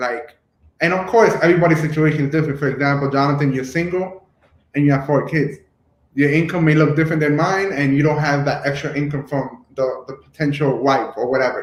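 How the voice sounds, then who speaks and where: A somewhat breathy man speaks at a fairly quick pace with a fairly high pitch and fairly even intonation. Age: 30s. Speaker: YouTube host. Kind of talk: casual discussion.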